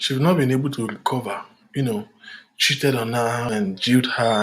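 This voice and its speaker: A man talks at a fairly quick pace and medium pitch, with ordinary pitch variation. His voice is somewhat breathy. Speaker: relationship talk host. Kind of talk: live talk.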